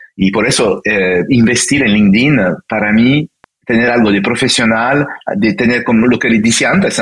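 A man with a French accent talks at a moderate pace, his medium pitch showing ordinary variation. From France, childhood in Italy and Brazil. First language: French (speaking Spanish). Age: 50s. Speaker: business consultant and coach. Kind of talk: interview. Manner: halting, many fillers.

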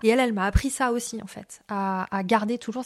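This is a very clean recording with a silent background. A woman speaks at a moderate pace with fairly even intonation. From France, raised abroad (Spain, Morocco, Argentina). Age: 30s. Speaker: business founder and career coach. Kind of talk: interview. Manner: hesitant, many fillers.

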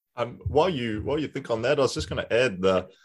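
Against a quiet background, a man talks in a plain, everyday voice with ordinary pitch variation. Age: 30s. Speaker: podcast host. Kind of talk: casual interview.

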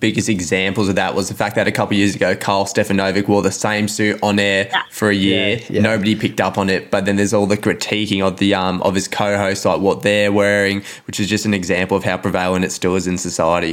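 A man with an Australian accent talks at a very fast pace and a fairly low pitch. Noticeable background noise runs under his voice. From Melbourne, Australia. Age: 20s. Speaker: podcast co-host. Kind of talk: interview. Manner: energetic.

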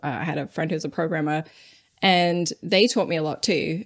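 A woman with a normal speaking voice talks at a fairly quick pace in a fairly low pitch. The recording is very clean with a silent background. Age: 30s. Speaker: game accessibility designer. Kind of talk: interview.

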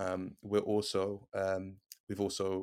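Fairly low-pitched man in a monotone, flat intonation, on a very clean recording with a silent background. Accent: British. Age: 20s. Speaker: educator. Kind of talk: interview.

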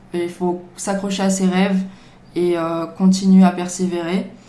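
Audible room echo surrounds a woman's dark, mellow, medium-pitched voice as she speaks at a fairly slow pace. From Marseille, France. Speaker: bubble tea business owner. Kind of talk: casual chat.

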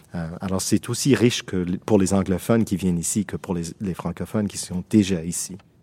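In a very clean recording with a silent background, a man speaks with an English-Canadian accent at a moderate pace, with hardly any pauses. His very deep, low voice has a dark, mellow tone and fairly even intonation. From Toronto, Canada. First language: English (speaking French). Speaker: theatre school director. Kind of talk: interview. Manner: halting.

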